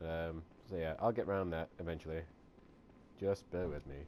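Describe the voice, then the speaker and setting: The intonation is fairly even. This man's pitch is very deep and low. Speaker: gaming youtuber. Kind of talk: let's play commentary. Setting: bedroom. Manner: soft-spoken; halting.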